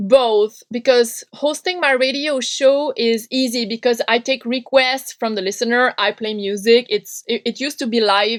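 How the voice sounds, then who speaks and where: Her voice is a woman's at high pitch with ordinary pitch variation, moving at a moderate pace in a dry, close sound with no echo. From Quebec, French Canada. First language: French. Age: 30s. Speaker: punk radio host and podcaster. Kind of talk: interview conversation.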